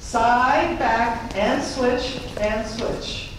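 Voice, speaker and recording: Noticeable background noise along with strong room echo. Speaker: fitness instructor. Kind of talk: live line dance class teaching, step-by-step instruction. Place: hall.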